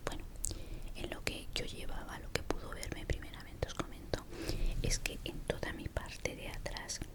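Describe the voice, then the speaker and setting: A woman whispering at a moderate pace in a relaxed tone, with noticeable background noise. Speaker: ASMR creator. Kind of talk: ASMR storytime, personal story told to camera. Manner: soft-spoken, relaxed, reflective.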